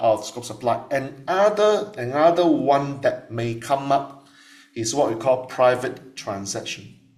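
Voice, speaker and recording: With noticeable background noise behind him, a man at medium pitch talks at a fairly slow pace with lively intonation. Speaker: tax lecturer. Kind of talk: lecture.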